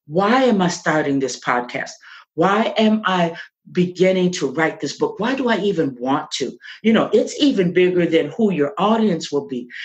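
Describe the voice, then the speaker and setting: A woman's pitch swings very widely. Her voice is somewhat breathy. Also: fairly low pitch for a woman, moderate pace. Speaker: podcaster and author. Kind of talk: interview answer.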